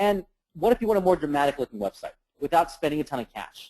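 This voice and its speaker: A man's dark, mellow tone comes through with lively intonation. He talks at a fairly quick pace, in a dry, close sound with no echo. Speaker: internet marketing trainer. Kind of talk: webinar presentation. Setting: conference call. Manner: fast; animated.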